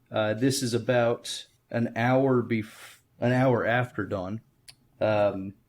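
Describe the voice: Fairly even intonation in plain reading aloud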